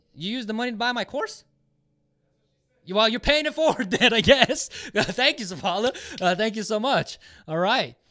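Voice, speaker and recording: A man's raised, projected, high voice, bright and sharp in tone, with lively intonation and a fairly quick pace broken by long, frequent pauses, in a very clean recording with a silent background. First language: Japanese. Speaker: online marketing educator, giveaway host. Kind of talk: livestream giveaway, casual chat. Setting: live stream with chat box. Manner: many fillers and hesitations.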